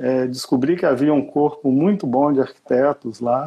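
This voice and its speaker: The speaker has a Minas Gerais accent. The pace is moderate. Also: man. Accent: Minas Gerais (mineiro) Brazilian Portuguese. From Brazil, Brasília with youth in Belo Horizonte. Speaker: architect. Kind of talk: interview in a livestream. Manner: halting.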